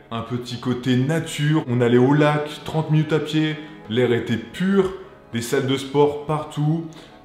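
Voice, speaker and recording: Music plays in the background. A man speaks very slowly at a fairly high pitch. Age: 20s. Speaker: video director. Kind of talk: casual talk to camera. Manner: enthusiastic.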